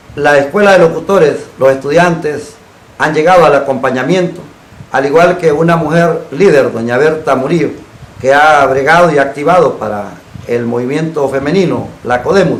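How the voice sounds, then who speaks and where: A man with a fairly high pitch and ordinary pitch variation speaks at a moderate pace, with audible room echo and noticeable background noise. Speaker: TV talk show host. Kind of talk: program closing announcement; TV interview. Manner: formal.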